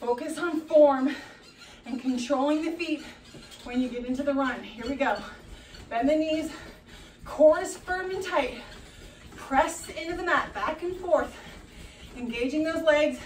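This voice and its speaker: A woman's high-pitched voice with ordinary pitch variation and long, frequent pauses, plus audible room echo and light background noise. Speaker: fitness instructor. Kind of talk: workout instruction. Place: home room.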